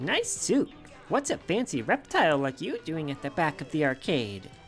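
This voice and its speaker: A man performs a put-on character voice at a fairly high pitch and moderate pace. Clear music plays in the background. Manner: put-on, not confident.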